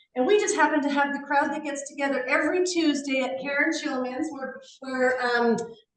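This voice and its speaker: A woman's high-pitched voice at a fairly quick pace, fairly even in intonation, with audible room echo. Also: hardly any pauses. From Canada. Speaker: online health group host. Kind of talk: live video call interview intro.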